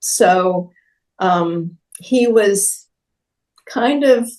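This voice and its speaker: A woman talks with ordinary pitch variation. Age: 70s. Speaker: artist's widow, former art student and painting model. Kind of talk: interview. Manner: halting with frequent um fillers.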